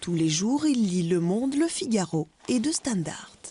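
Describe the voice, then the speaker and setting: An ordinary speaking voice from a woman, fairly slow in pace, with lively intonation. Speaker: TV news reporter. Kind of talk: news report narration.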